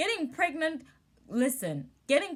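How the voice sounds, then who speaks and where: A woman speaks loudly at a moderate pace, her pitch swinging very widely. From South Africa. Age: 20s. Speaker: vlogger. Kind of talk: casual advice vlog. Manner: animated.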